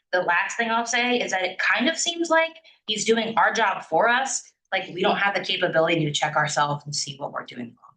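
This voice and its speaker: A woman's bright, sharp voice at a medium pitch, with very wide pitch swings and hardly any pauses. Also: fairly quick pace, big swings in loudness. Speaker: student senator. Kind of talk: meeting debate. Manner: fast.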